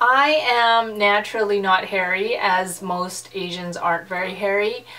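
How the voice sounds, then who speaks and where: Ordinary pitch variation can be heard over noticeable background noise. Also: woman. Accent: Canadian. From western Canada. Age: 30s. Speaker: YouTuber, pastor's wife. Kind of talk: casual vlog chat.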